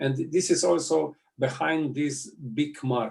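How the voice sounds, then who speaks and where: Somewhat breathy, a man speaks with a Slovenian accent and fairly even intonation. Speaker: politician. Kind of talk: interview. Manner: halting.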